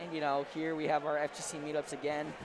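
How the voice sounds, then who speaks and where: There is noticeable background noise behind this man, whose pitch sits fairly high. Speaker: esports commentator. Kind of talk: live commentary.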